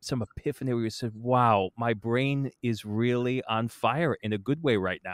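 Using a plain, everyday voice, a man talks at a moderate pace and medium pitch with ordinary pitch variation, in a dry, close sound with no echo and a very clean, silent background. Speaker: podcast host and musician. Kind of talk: interview.

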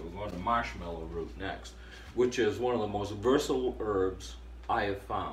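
A man with vocal fry and very wide pitch swings, at a moderate pace, amid audible room echo. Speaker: herbalist video host. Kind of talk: tutorial.

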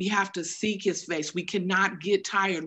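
The pace is fairly slow as this woman talks. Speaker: church member. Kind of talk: spontaneous exhortation on prayer; sermon-like exhortation in prayer. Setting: video call. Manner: fervent, rhythmic repetition. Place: home room. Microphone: video call.

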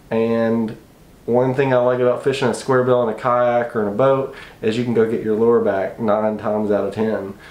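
Speaking in a monotone, flat delivery at a moderate pace, a man is heard with audible room echo. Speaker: fishing channel host. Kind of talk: gear tutorial. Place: home room. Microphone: camera far.

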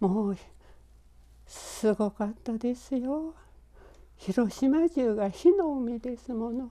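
Very slow with long, frequent pauses, a woman talks in a high, dark and mellow voice with lively intonation. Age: 90s. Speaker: atomic bomb survivor. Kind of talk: interview testimony.

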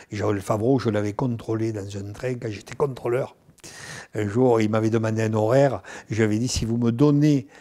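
Speaking at a moderate pace, a man uses fairly even intonation and a dark, mellow tone. The background is quiet. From southern France, Nîmes; southern France. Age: 70s. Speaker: actor and singer. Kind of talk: interview; interview answer. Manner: halting, repeats words. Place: home room.

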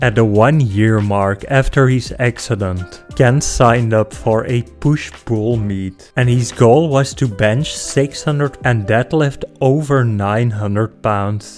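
A man at a very slow pace with ordinary pitch variation, music in the background. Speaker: channel narrator. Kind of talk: commentary.

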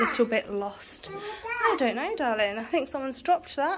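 A woman with a southern English accent speaks at a moderate pace with very wide pitch swings over loud background noise. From England. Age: 30s. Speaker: family vlogger. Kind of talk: casual vlog to camera. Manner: animated.

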